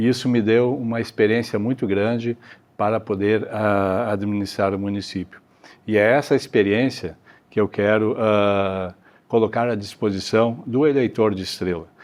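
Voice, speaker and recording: Fairly even intonation and a moderate pace from a man with a fairly low pitch. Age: 60s. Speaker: mayoral candidate, retired federal police forensic expert. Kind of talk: candidate interview. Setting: auditorium. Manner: hesitant, many fillers.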